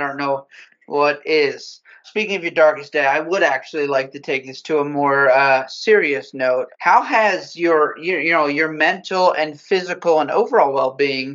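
This man has a normal speaking voice at a moderate pace. His pitch sits fairly high, with ordinary variation. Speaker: guest, motion design director. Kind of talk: casual interview.

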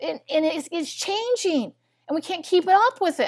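A woman's pitch swings very widely as she speaks at a fairly quick pace. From US Midwest, Missouri. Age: 60s. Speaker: biochemist and nutritionist. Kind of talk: interview.

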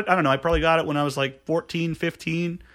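On a very clean recording with a silent background, a raised, projected voice rings out with a bright, sharp tone. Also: man. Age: 20s. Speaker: podcast guest. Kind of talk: casual chat. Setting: studio.

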